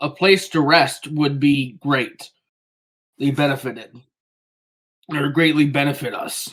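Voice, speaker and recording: In a raspy, put-on character voice with a fairly high pitch, a man speaks at a fairly slow pace. He leaves long, frequent pauses. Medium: actual play.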